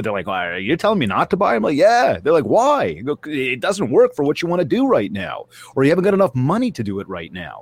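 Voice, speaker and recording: A man speaks very fast with vocal fry, his pitch swinging very widely. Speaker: real estate coach and speaker. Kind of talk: casual interview chat. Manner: high energy, animated.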